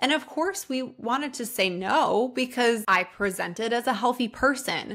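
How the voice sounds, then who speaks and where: Over a quiet background, a woman with a high pitch speaks at a moderate pace with lively intonation. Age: 30s. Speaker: podcast host and health coach; podcast host, health coach. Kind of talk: solo personal podcast monologue. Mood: earnest, reflective. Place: home room. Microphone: studio mic.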